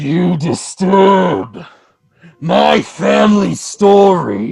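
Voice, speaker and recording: In a booming put-on character voice of middle pitch, the speaker goes at a very slow pace. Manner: ominous, commanding.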